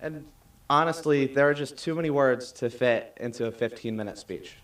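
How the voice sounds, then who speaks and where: With an American accent, a man speaks at a moderate pace in a fairly high, unremarkable speaking voice with ordinary pitch variation. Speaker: graduating student speaker. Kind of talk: commencement speech. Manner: formal.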